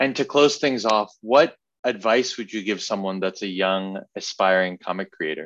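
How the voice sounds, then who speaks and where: A man talks in a normal speaking voice at a moderate pace. His pitch is fairly low, with ordinary variation. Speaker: podcast interviewer. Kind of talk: casual interview chat.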